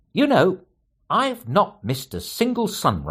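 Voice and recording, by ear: The background stays quiet. A natural voice reads the text aloud.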